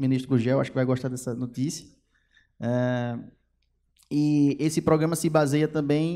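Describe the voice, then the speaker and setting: This man has a dark, mellow tone and ordinary pitch variation. The recording is very clean, with a silent background. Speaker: federal government attorney. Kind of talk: lecture. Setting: stage with audience. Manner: fast; loud.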